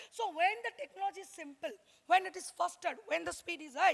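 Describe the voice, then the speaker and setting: With a raised, projected voice at an extremely high pitch, a woman speaks with ordinary pitch variation. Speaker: workshop speaker on intellectual property. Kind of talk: lecture. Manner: fast.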